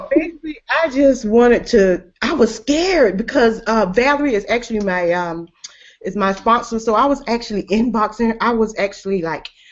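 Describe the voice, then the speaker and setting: Here a woman with an American accent speaks at a moderate pace. Her voice is fairly high, with lively intonation. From US South. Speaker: network marketing team member. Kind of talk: testimony.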